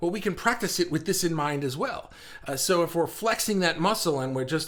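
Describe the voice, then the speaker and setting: Talking at a very fast pace, a man uses a high voice, an animated tone and lively intonation. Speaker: livestream host for artists. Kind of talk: live stream chat. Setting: home office.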